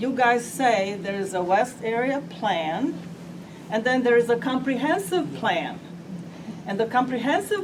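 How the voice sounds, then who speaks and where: Over noticeable background noise and audible room echo, a woman talks at a very slow pace, her fairly high pitch making very wide swings. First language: not English. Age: 80s+. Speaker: resident speaking at public meeting. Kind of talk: public comment at meeting.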